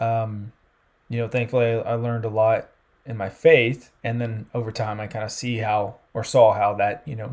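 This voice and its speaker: A man with a Southern US accent speaks at a medium pitch in a monotone, flat delivery, in a very clean recording with a silent background. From US South, South Carolina. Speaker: campus sports ministry leader. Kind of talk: casual interview.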